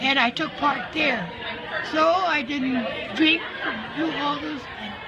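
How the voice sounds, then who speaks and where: A woman at a very slow pace, with long, frequent pauses and noticeable background noise. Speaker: interviewee. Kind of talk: interview answer. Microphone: phone near.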